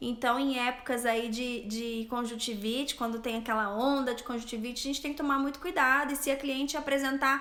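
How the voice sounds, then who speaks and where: Her voice is high in pitch, with a bright, sharp tone and ordinary pitch variation. Audible room echo follows this woman's speech. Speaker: eyelash extension specialist and instructor. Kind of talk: live stream Q&A. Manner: stumbling, stammering.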